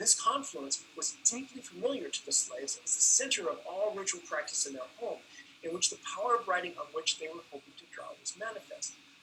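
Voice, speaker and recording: A man talks at a fairly quick pace, with big swings in loudness. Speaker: anthropology professor. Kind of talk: academic lecture. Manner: halting.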